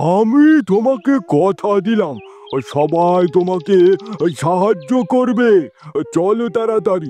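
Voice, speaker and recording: Cartoonish character voice at a fairly slow pace. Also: man, high pitch for a man. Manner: commanding.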